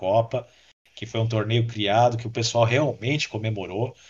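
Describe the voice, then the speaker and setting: A man's somewhat breathy, fairly low voice in a flat monotone against a quiet background. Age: 30s. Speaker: podcast listener and former podcaster. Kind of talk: casual chat.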